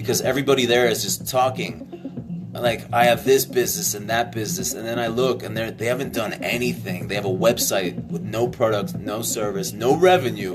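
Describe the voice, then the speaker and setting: Music plays in the background, and the room echo is audible. The delivery is fairly quick and animated, with lively intonation. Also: man. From Poland. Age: 30s. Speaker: tech entrepreneur. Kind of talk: live Q&A stream. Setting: Facebook live stream. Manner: casual, animated.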